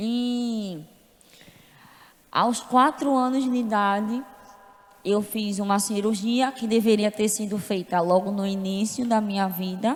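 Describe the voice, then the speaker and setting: This woman talks fairly slowly in a fairly high voice, with ordinary pitch movement. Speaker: church member giving testimony. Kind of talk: testimony. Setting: church service.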